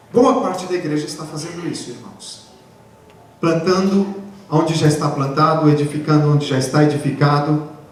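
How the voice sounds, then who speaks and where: With noticeable background noise and audible room echo, a man speaks with big swings in loudness and ordinary pitch variation. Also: fairly high pitch for a man, moderate pace. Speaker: pastor. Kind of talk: sermon. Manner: animated.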